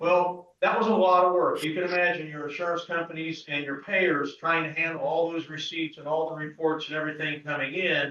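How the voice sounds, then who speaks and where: Loud and bright, with a sharp tone, a man with a Midwestern US accent talks at a fairly quick pace in a fairly high pitch, with hardly any pauses. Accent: US Midwest. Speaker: pharmacist, business owner. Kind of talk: speech to an assembly. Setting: meeting hall with audience.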